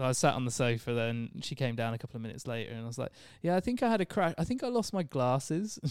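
The speaker talks at a very fast pace. The intonation is lively. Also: man, medium pitch for a man, very clean recording, silent background. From Devon, southwest England. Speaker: podcast guest. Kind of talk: casual chat, interview. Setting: studio.

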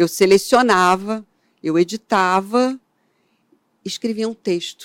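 The sound is dry and close, with no echo. A woman talks at a very slow pace. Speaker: photographer. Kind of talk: interview.

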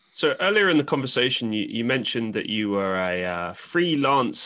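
A man with a London accent speaks at a medium pitch in a bright, sharp tone with lively intonation. The background is quiet. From London, England. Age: 20s. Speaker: podcast host. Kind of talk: casual interview chat.

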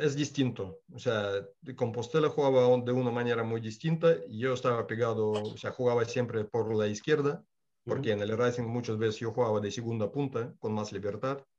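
Speaking in a Russian accent, the voice keeps a moderate pace with ordinary pitch variation. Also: man, medium pitch for a man. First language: Russian (speaking Spanish). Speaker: former footballer. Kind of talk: interview.

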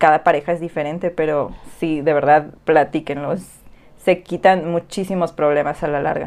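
The delivery comes at a moderate pace. Its intonation is monotone and flat. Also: woman, very deep, low pitch for a woman. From Mexico, Yucatán Peninsula (Cozumel, Mérida). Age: 20s. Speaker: podcast co-host. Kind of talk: casual chat.

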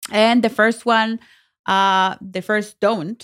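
In a very clean recording with a silent background, a woman with a non-native accent speaks at a medium pitch. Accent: noticeable non-native. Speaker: podcast co-host. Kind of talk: casual chat.

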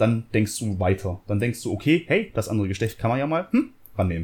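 In a very clean recording with a silent background, a man speaks with lively intonation and a somewhat breathy voice. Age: 30s. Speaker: podcast co-host. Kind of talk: casual chat.

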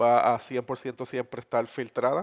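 The man's delivery is fairly slow, and the background stays quiet. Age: 30s. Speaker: podcast co-host. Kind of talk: casual chat.

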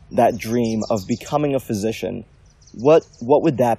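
The pace is moderate. Pitch variation is ordinary. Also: man. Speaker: podcast host, medical student. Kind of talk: casual interview. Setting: outdoors in a forest.

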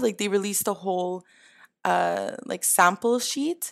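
In a plain, everyday voice, a woman with a Canadian accent speaks at a medium pitch and a fairly slow pace. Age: 20s. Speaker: gaming podcast panelist. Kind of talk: casual chat. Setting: video call.

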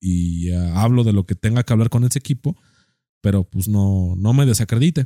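A man speaks fairly quickly in a dark, mellow tone. The recording is very clean with a silent background, and the sound is dry and close with no echo. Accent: Mexican. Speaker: podcast co-host. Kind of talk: casual chat. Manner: animated.

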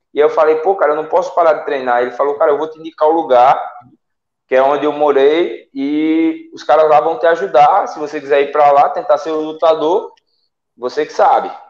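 An ordinary speaking voice from a man, fairly high in pitch, fairly quick and fairly even in intonation, with big swings in loudness. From Salgueiro, Pernambuco, Brazil. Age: 20s. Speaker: MMA fighter. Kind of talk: casual interview on live stream.

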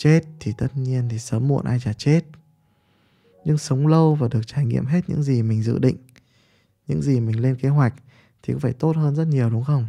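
A man speaks at medium pitch with ordinary pitch variation and a dark, mellow, somewhat breathy tone. He leaves long, frequent pauses. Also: fairly quick pace. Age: 30s. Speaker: podcaster and business mentor. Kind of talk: monologue talk.

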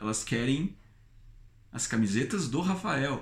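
Animated and somewhat breathy, a man at medium pitch speaks with lively intonation. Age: 30s. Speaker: YouTuber. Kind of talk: vlog monologue.

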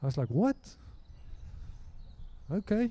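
Speaking slowly, a man with a high pitch swings his voice widely, his tone dark and mellow with a slightly husky edge.

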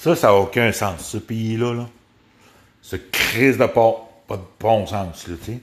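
A man with a Quebec accent talks at a very slow pace and medium pitch, with ordinary pitch variation and long, frequent pauses. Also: big swings in loudness. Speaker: podcast host. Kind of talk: casual rant. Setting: at home by a window. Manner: halting.

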